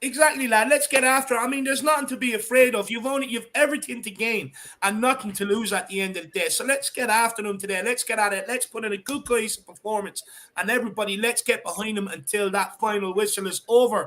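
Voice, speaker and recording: A man's extremely high, bright and sharp voice with an Irish accent, raised and projected, animated in tone, very fast, with ordinary pitch variation. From Ireland. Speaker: football fan channel host. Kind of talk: live stream chat.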